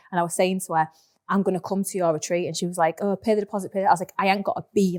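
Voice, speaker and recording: A woman talks very fast at a medium pitch. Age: 30s. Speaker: sales and mindset coach. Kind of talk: podcast interview. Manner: animated.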